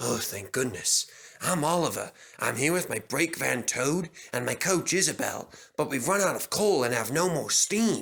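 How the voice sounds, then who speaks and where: At a moderate pace, a man puts on a character voice pitched fairly high. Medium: read story.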